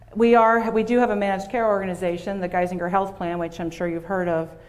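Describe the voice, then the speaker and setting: Talking at a fairly quick pace with an American accent, a woman uses a medium pitch and monotone, flat intonation amid audible room echo. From Pennsylvania. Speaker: health system director. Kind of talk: keynote presentation. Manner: fast.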